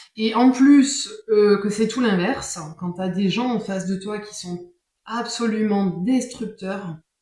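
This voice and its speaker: A woman speaks very slowly in a fairly high voice, her pitch moving in an ordinary way while her loudness rises and falls sharply. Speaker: tarot card reader. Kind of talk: casual monologue. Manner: hesitant, many fillers.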